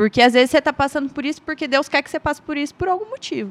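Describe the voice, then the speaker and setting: The speaker is a woman. Her voice sounds dry and close, with no echo. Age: 30s. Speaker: industrial manager. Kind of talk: testimony.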